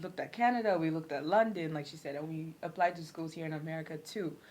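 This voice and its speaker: A woman talks at a fairly quick pace, her fairly low pitch showing ordinary variation. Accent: Ghanaian. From Ghana. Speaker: former international student. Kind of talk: casual chat.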